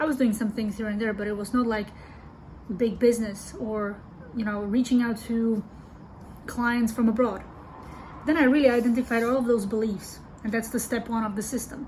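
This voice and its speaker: A woman with a non-native accent speaks at a moderate pace and a fairly high pitch, her intonation fairly even and broken by long, frequent pauses. Audible room echo and noticeable background noise fill the recording. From Europe. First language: not English. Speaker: business coach. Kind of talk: online video monologue. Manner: casual, with fillers.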